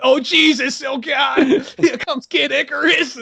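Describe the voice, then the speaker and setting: A moderate-paced, put-on character voice from a man, pitched extremely high. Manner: nervous, panicky.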